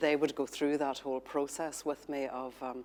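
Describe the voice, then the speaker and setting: A woman at a moderate pace, in a Northern Irish accent. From Northern Ireland, Protestant community. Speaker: journalist and author. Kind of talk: panel discussion. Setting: studio.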